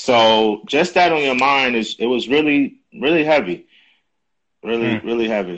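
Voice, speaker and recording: Speaking in a normal speaking voice, a man uses a medium pitch and lively intonation at a moderate pace. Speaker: podcast host. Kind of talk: casual interview chat.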